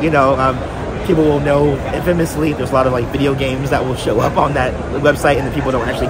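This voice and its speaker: Over music in the background, a man talks very fast at a fairly high pitch. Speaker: author. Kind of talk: interview answer. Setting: convention floor.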